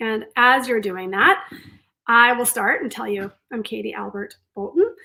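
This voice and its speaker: A woman with a bright, sharp tone and vocal fry speaks with lively intonation and big swings in loudness. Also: fairly high pitch for a woman, moderate pace. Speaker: career coach. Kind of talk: webinar presentation. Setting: online webinar.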